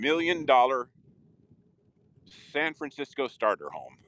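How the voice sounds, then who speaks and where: A fairly high-pitched male voice at a fairly slow pace, with ordinary pitch variation, vocal fry and a dry, close sound with no echo. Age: 60s. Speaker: live streamer. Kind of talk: casual live stream narration. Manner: animated.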